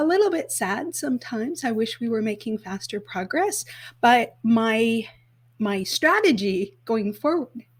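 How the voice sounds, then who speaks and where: A woman speaks in an ordinary speaking voice, with a Canadian accent and a fairly high pitch. Her pace is fairly slow and her intonation lively. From Canada, northern Alberta. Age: 50s. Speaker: sustainable events expert and event business founder. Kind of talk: podcast interview.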